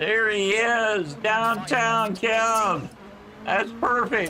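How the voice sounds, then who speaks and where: A man with a high-pitched, raised and projected voice speaks very slowly in a room with audible echo and noticeable background noise. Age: 60s. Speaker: sim racing game streamer. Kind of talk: casual chat. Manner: halting.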